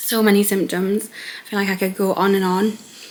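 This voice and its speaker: A woman speaks with a British accent in a monotone, flat intonation. Noticeable background noise runs underneath. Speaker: vlogger. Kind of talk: personal vlog.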